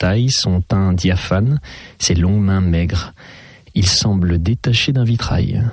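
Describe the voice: The text gets plain reading aloud, with pitch that varies by an ordinary amount.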